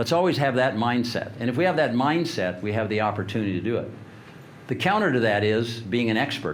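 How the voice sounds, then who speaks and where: Amid audible room echo, a man with a medium pitch talks at a fairly quick pace with lively intonation. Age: 70s. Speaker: leadership speaker. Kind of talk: motivational talk.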